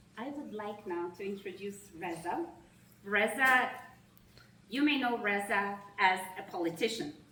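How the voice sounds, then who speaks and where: A woman with a Russian accent at a fairly slow pace, with lively intonation, big swings in loudness, and long, frequent pauses, amid noticeable background noise and audible room echo. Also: medium pitch for a woman. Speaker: nonprofit executive. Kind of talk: opening remarks speech. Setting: reception event with audience. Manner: formal.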